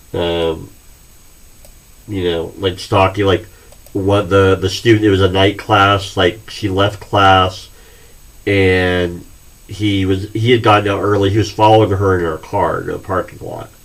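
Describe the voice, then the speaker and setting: In audible room echo, a man speaks fairly slowly at a fairly low pitch with monotone, flat intonation and long, frequent pauses. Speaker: college history instructor. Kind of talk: recorded class introduction lecture. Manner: halting, many fillers.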